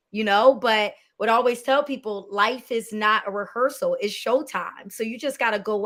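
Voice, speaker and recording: This woman has a normal speaking voice, pitched fairly high. She talks at a moderate pace. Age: 30s. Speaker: filmmaker and producer. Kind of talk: interview conversation.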